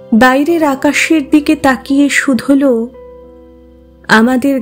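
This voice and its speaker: A woman speaks in a high voice with music in the background. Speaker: poetry reciter. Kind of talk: poetry reading.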